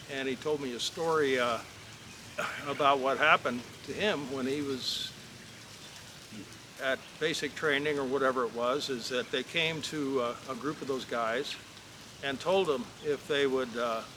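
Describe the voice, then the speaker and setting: At a moderate pace with long, frequent pauses, a man speaks at a fairly high pitch over noticeable background noise. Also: fairly even intonation. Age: 60s. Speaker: real estate vlogger, former asphalt milling businessman. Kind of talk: casual storytelling vlog. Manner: halting, with frequent fillers.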